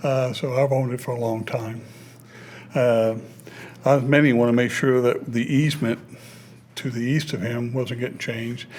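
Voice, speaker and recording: A man at medium pitch and moderate pace, monotone and flat, with long, frequent pauses and audible room echo. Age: 60s. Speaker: local resident. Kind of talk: public comment at hearing. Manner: halting.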